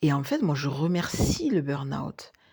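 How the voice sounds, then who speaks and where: A somewhat breathy woman's voice with a dark, mellow tone, in a very clean recording with a silent background. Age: 40s. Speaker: life coach and former nurse. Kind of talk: podcast monologue.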